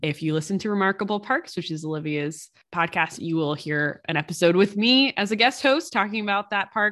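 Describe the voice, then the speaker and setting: Over a silent background in a very clean recording, a woman with an American accent talks at a fairly quick pace with hardly any pauses, using lively intonation at a medium pitch. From US East Coast. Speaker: podcast co-host. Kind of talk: casual chat.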